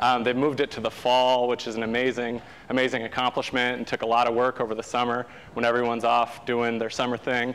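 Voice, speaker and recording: With an American accent, a man speaks at a medium pitch and a very fast pace. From Southern California. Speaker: sustainability activist, program founder. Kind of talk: guest lecture. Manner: animated.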